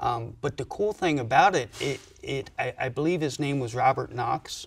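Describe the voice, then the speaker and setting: Hardly any pauses break up this man's moderate pace. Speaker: guest. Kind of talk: interview answer. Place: garage. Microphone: studio mic.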